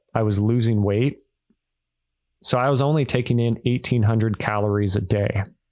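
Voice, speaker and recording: Here a man talks at a moderate pace with a medium pitch. His intonation stays fairly even. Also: quiet background. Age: 30s. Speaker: author and real estate investor. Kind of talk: casual interview.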